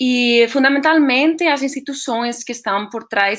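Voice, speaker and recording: In a Spanish accent, a woman talks at a fairly slow pace. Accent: Spanish-accented Portuguese, portunhol. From Spain. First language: Spanish (speaking Portuguese). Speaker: astronomer, science outreach project leader. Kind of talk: online presentation. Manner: hesitant, many fillers.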